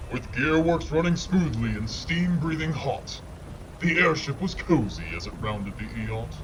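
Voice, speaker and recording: Over loud background noise, a man uses a sing-song, put-on character voice at a moderate pace. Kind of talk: gothic bedtime-story verse. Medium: audio drama. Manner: rhythmic, sing-song rhyming.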